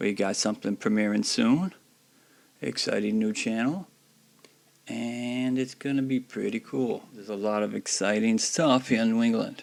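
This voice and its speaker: At a moderate pace, a man with a medium pitch talks with ordinary pitch variation. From US South. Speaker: YouTuber, video blogger. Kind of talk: casual vlog commentary. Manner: casual, halting with fillers.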